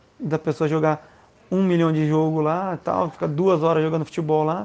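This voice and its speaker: This man's voice sits fairly high, with ordinary pitch variation and a moderate pace. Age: 30s. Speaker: crossfit instructor. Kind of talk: interview.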